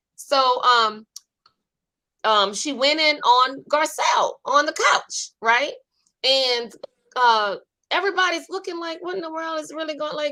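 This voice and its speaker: A woman with a New Orleans accent uses a raised, projected voice, high in pitch and bright and sharp in tone. She speaks at a fairly slow pace with long, frequent pauses, very wide pitch swings and big swings in loudness. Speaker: online talk show host. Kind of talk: casual chat.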